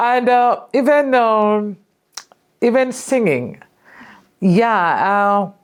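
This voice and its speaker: A woman with a Kenyan accent speaks at a very slow pace, leaving long, frequent pauses. Her pitch is fairly high, with ordinary variation. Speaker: filmmaker and storyteller. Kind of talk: interview.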